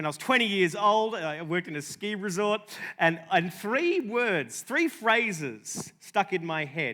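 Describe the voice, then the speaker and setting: Speaking at a moderate pace with hardly any pauses, a man with an Australian accent uses lively intonation. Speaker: comedian and journalist. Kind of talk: conference talk. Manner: halting.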